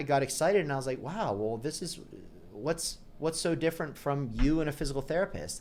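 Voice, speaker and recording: A man with an American accent speaks at a fairly quick pace in a fairly high pitch. His intonation is lively, and vocal fry runs through his voice. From Pittsburgh, Pennsylvania, US. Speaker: chiropractor. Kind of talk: interview storytelling. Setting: podcast interview. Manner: conversational, animated.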